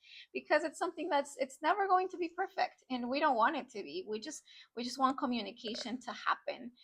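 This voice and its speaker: Her pitch is high and her pace fairly quick. This woman's intonation is lively, and her loudness swings widely. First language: not English. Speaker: language teacher. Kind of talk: interview.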